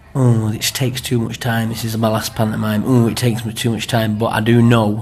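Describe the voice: A man talks in a fairly low pitch with a slightly mellow tone and little pitch movement. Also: moderate pace.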